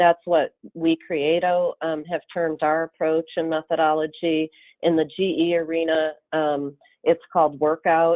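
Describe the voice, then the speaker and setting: This woman's voice sits fairly low in pitch. She talks at a fairly slow pace with monotone, flat intonation. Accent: slight Upper Midwest. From Michigan, US. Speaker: consultant presenter. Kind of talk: webinar presentation.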